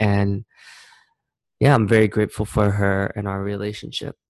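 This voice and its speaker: On a very clean recording with a silent background and a dry, close sound with no echo, a man speaks with an American accent. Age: 30s. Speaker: blogger. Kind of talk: personal vlog monologue. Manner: casual, hesitant with fillers.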